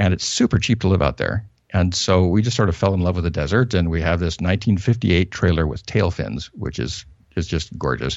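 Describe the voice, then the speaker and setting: A man speaks with vocal fry and a General American accent. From US Northwest, northern Idaho. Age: 50s. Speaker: pastor. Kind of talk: interview. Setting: phone call.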